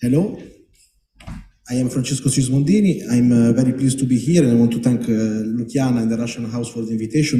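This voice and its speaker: With audible room echo, a man's somewhat breathy, dark and mellow voice sits at medium pitch, his intonation fairly even. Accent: Italian. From Italy. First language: Italian. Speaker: panel moderator. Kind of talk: panel introduction. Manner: halting.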